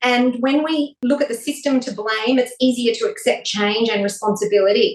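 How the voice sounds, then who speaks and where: A woman speaks at a moderate pace with an Australian accent. Her pitch is high, with ordinary variation. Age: 40s. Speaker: wellness expert and TV presenter. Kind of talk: casual interview chat.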